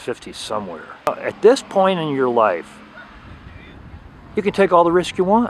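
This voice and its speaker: A man speaks with very wide swings in pitch over noticeable background noise. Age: 60s. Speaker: small-boat race participant. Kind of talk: interview.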